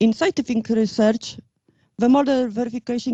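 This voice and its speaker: Her voice is somewhat breathy as this woman speaks at a moderate pace. The sound is dry and close, with no echo. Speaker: conference speaker, engineering researcher. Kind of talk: lecture. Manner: halting, many hesitations.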